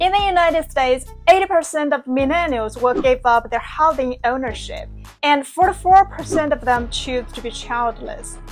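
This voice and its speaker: A woman speaks at a high pitch with lively intonation and a moderate pace. Music plays in the background. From China. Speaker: video essayist. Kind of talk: scripted narration.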